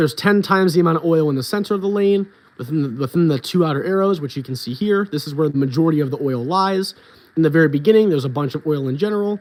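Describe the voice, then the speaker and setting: A man rattles along very quickly, his pitch moving in an ordinary way. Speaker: bowling coach. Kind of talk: livestream tutorial. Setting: livestream with laptop screen share. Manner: casual, filler-heavy.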